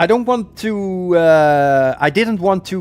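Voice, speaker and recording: Lively intonation from a man with a slight Dutch accent. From Netherlands. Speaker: gaming streamer. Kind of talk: live stream commentary.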